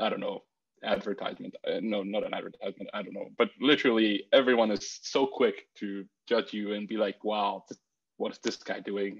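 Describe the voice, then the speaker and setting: A man speaks with a Bulgarian accent. His pace is moderate. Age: 20s. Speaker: university student. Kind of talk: casual chat. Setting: video call.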